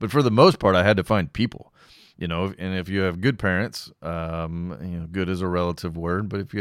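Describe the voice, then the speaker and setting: A man with an American accent speaks in a very deep, low voice at a fairly quick pace. His pitch varies in an ordinary way, and the recording is very clean with a silent background. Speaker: podcast host. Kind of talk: solo podcast monologue, casual talk. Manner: casual, rambling, with fillers.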